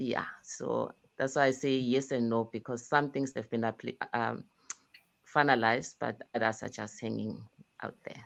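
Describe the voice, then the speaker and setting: Speaking at a moderate pace in a South African accent, a woman uses monotone, flat intonation with vocal fry and a very deep, low pitch. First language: isiZulu. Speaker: indie author. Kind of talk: casual chat.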